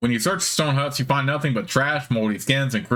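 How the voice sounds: Pitch varying in an ordinary way through a natural reading voice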